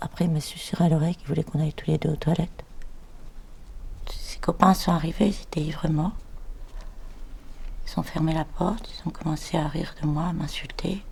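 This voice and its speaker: Talking at a fairly quick pace, a woman uses a fairly low pitch and monotone, flat intonation. Long, frequent pauses run through her speech. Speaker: actress. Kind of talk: acting demo reel scenes.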